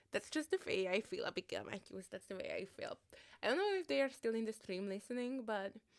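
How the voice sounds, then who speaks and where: The speaker talks at a very fast pace with an Eastern European accent and very wide pitch swings. The sound is dry and close, with no echo. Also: woman, fairly high pitch for a woman. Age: 30s. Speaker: livestreamer. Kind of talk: casual livestream chat.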